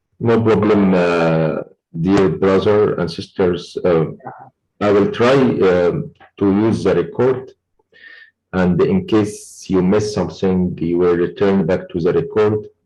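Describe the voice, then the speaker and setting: Pausing long and often, a man speaks at a fairly low pitch with a dark, mellow tone and very even loudness, with audible room echo around him. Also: ordinary pitch variation, fairly slow pace. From Egypt. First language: Arabic. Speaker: oil and gas lecturer. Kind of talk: online lecture Q&A.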